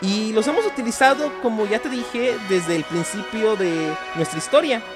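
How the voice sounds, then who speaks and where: With music playing behind him, a man speaks with very wide pitch swings. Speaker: teacher / historian and informatics technician. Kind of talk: educational podcast narration.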